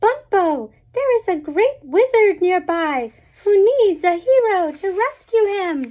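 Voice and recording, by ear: Squeaky and extremely high-pitched, this woman uses a put-on character voice. The pitch sits far above the usual range for a woman. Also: fairly slow pace.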